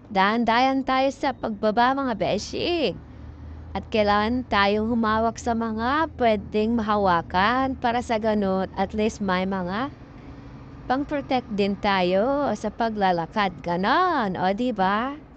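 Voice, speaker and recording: Speaking at a very slow pace, a woman has a fairly high pitch with ordinary variation, a dry sound with no echo, and light background noise. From Philippines. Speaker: travel vlogger. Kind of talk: vlog narration while hiking. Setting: outdoors on a mountain. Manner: animated. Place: open country. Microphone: phone near.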